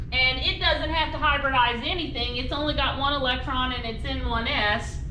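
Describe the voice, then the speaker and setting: Over noticeable background noise, a woman speaks in a high voice with fairly even intonation. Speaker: chemistry instructor. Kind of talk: lecture. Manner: fast.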